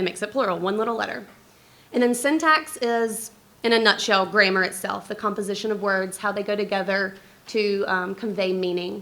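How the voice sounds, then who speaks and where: The woman's voice has a bright, sharp tone at a medium pitch with ordinary pitch variation. She talks at a fairly quick pace, and room echo is audible. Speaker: speech-language pathologist. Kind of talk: conference talk. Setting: stage with audience.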